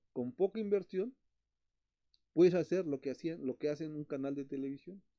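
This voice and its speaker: The intonation is lively, and the pace is moderate. A man speaks at a fairly high pitch. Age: 60s. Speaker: betta fish breeder and channel host. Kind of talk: live stream chat. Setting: live stream. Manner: halting, repetitive.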